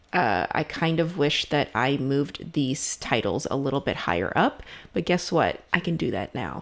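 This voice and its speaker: A woman's voice with vocal fry and lively intonation, at a fairly slow pace. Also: very clean recording, silent background. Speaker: video editing instructor. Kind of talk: tutorial. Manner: casual.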